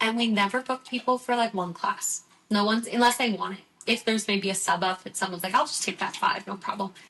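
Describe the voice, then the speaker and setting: A woman's fairly high, very fast voice with fairly even intonation, over noticeable background noise. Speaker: Pilates instructor and studio manager. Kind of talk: casual chat.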